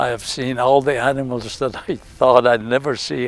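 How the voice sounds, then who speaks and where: Noticeable background noise sits behind a man of medium pitch who speaks at a fairly slow pace with fairly even intonation. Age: 80s+. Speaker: safari guest. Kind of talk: testimonial.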